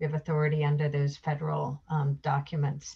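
A woman speaks in a somewhat breathy voice. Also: quiet background. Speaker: state environmental official; guest. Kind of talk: presentation. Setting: video call. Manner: formal. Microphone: video call.

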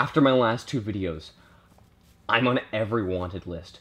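It is a plain, everyday voice with ordinary pitch variation. Light background noise can be heard. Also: man. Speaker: comedy vlogger. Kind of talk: comedic monologue to camera.

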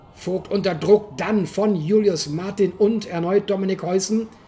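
This woman's pitch is medium with ordinary variation, and there is music in the background. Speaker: motorsport commentator. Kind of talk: race commentary. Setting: voiceover over video footage.

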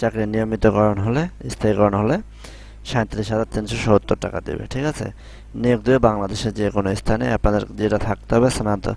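A man speaks at a fairly low pitch with ordinary pitch variation in a plain, everyday voice. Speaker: YouTuber explaining job circulars. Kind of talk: tutorial. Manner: casual, repetitive with filler phrases.

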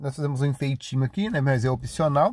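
A somewhat breathy man's voice at a fairly high pitch, dry and close with no echo, in a very clean recording with a silent background. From Paraná, Brazil. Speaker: cooking video host. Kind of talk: recipe tutorial. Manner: chatty, conversational.

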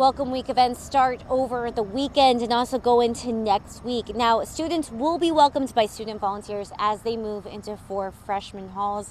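With hardly any pauses, a woman talks at a moderate pace and with ordinary pitch variation, the sound dry with no echo and carrying light background noise. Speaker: TV news reporter. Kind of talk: live news report. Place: street. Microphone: handheld.

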